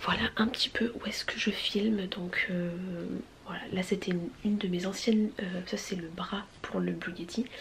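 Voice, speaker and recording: A woman whispers against noticeable background noise. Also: moderate pace. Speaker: vlogger, mother of two boys. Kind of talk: casual vlog talk. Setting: indoors at home filming space. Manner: casual, with many fillers; whispering.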